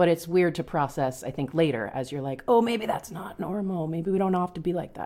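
A woman's plain, everyday voice, fairly low in pitch, with an American accent, lively intonation, a fairly quick pace and hardly any pauses. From Long Island, New York. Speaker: teacher. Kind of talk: casual chat.

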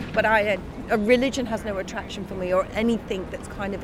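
A woman's very fast, medium-pitched speech amid noticeable background noise. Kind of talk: casual chat.

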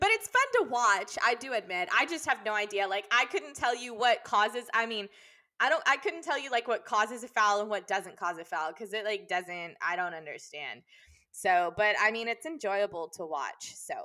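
A woman in a Texan accent talks at a moderate pace with a fairly high pitch and lively intonation. Her tone is bright and sharp, and the recording is very clean with a silent background. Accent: Texan American. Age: 20s. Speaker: podcast co-host, elementary school teacher. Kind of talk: casual chat.

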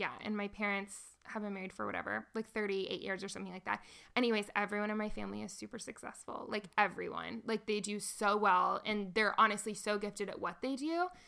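With an ordinary speaking voice, a woman at a medium pitch talks at a fairly quick pace with fairly even intonation. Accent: American. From Nashville, Tennessee, US South. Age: 20s. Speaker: musician. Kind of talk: casual interview, personal testimony. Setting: lying on the floor of a basement.

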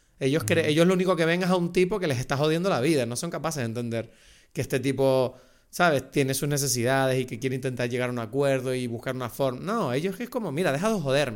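Recorded very cleanly against a silent background, a man with a fairly high pitch speaks at a very fast pace with ordinary pitch variation. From France, raised in the Canary Islands. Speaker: podcast co-host, film commentator. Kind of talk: casual chat.

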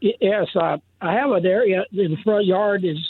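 A man with a high pitch talks in an American accent. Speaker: caller. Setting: phone call.

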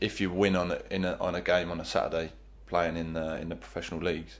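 With an English accent, a man talks fairly quickly in a very deep, low voice with vocal fry and ordinary pitch variation. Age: 20s. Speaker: professional goalkeeper. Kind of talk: interview.

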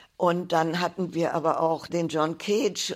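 The recording is very clean and the background silent. A woman talks at a fairly low pitch. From Silesia, then Pomerania and Berlin. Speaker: art gallerist. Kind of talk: oral history interview. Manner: halting, with many fillers.

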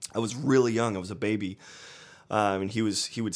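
A man's fairly low, ordinary speaking voice in an American accent, with fairly even intonation, on a very clean recording with a silent background. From Northeast Ohio. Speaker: touring drummer and music teacher. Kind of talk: casual interview.

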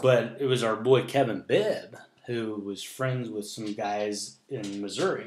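This man has a plain, everyday voice, medium in pitch with ordinary pitch variation. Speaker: former high school wrestler. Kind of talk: casual chat. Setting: at home.

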